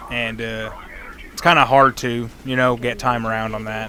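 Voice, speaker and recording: Over noticeable background noise, a man of medium pitch speaks at a fairly slow pace. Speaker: gaming youtuber. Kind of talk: gameplay commentary. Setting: at home at night. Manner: quiet, toned down; off the cuff, halting.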